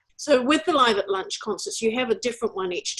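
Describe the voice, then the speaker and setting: At a fairly quick pace, a woman talks with ordinary pitch variation in an unremarkable speaking voice. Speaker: interviewer, show host. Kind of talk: interview questions and introduction.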